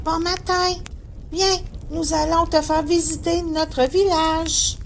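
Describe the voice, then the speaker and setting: A put-on character voice with an extremely high pitch moves at a fairly slow pace over clear background noise. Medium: audio drama. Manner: friendly, helpful.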